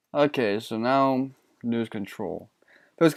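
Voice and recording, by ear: Someone is reading aloud in a natural voice. The background stays quiet.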